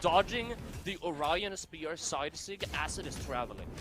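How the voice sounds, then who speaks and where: Over music in the background, a man speaks at a fairly slow pace with lively intonation. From Sweden. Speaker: esports caster. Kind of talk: live commentary.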